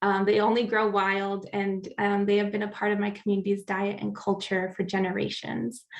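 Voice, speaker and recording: A woman with an American accent at a medium pitch, flat and monotone, at a moderate pace over noticeable background noise. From US Pacific Northwest, central Oregon. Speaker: climate justice advocate. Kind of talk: prepared talk.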